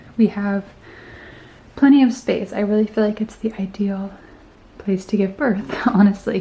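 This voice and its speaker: Soft-spoken and at a moderate pace, a woman talks with fairly even intonation and long, frequent pauses. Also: medium pitch for a woman. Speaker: lifestyle vlogger. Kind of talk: casual vlog talk. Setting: at home, bedroom.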